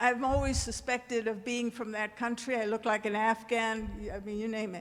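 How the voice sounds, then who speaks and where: Loud and with a monotone, flat intonation, a woman speaks at a moderate pace. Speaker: audience member, former teacher. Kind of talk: audience comment at town hall. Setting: church hall with audience.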